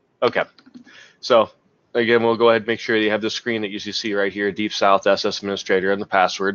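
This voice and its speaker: A fairly low-pitched man at a very fast pace, his intonation fairly even. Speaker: software engineer giving training. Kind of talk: tutorial. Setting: conference call with screen share.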